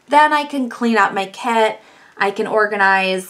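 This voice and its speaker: A woman speaks with noticeable background noise. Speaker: face painter. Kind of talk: tutorial. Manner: fast; animated.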